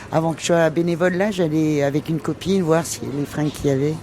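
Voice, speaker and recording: Over noticeable background noise, a woman speaks at a moderate pace in a very deep, low pitch with ordinary pitch variation. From Brittany, France. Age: 60s. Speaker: retired hairdresser, charity volunteer. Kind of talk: testimony. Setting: on the move and in a café. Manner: hesitant, many fillers.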